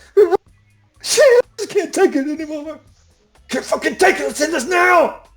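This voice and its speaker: A put-on character voice, high-pitched and shouting at a fairly slow pace, with faint music in the background. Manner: yelling, desperate.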